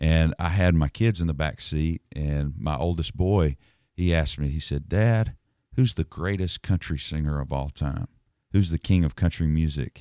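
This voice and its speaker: Very deep and low, a man's voice carries a dark, mellow tone with ordinary pitch variation at a moderate pace. The recording is very clean with a silent background, and the sound is dry and close with no echo. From Nashville. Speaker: songwriter. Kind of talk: interview. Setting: studio.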